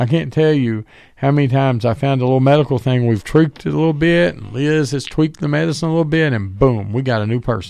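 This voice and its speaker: Against a quiet background, a man with a Southern US accent talks at a medium pitch with ordinary pitch variation. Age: 40s. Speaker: radio host and medical professional. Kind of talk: casual chat.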